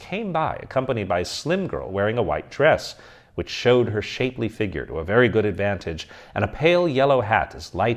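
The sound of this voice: Lively intonation runs through this clip, spoken in an unforced reading voice.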